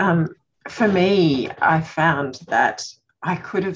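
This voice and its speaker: A woman speaking at a very slow pace in an Australian accent. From Australia, Queensland. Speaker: circle participant. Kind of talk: casual sharing in support circle. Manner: calm.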